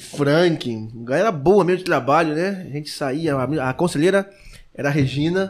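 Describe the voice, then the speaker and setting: The pitch of this man's voice is fairly high. His pitch variation is ordinary. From Brazil, Rio de Janeiro (Cordovil). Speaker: pastor and missionary. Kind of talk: casual chat. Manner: fast, rushed speech (tachylalia).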